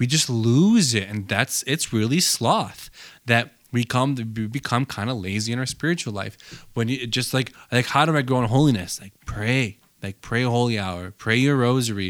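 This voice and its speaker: On a very clean recording with a silent background, a man with an unremarkable speaking voice talks at a medium pitch and a moderate pace, with ordinary pitch variation. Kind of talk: casual chat.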